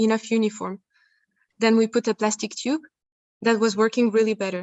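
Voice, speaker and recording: Speaking at a moderate pace, a woman with a fairly high pitch keeps her intonation monotone and flat. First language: not English. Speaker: researcher presenting at a conference. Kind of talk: conference Q&A answer. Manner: halting, many repeated words.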